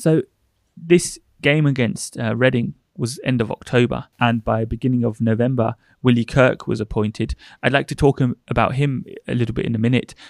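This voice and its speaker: Using a normal speaking voice, a man talks at a moderate pace and a medium pitch. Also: ordinary pitch variation. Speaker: podcast co-host interviewer. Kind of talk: casual interview conversation.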